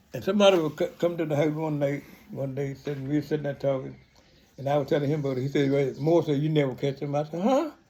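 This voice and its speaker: A man's somewhat breathy, dark, mellow voice, fairly high in pitch, very fast and fairly even in intonation. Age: 90s. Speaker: retired pastor and farmer. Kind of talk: casual storytelling. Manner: halting, with false starts.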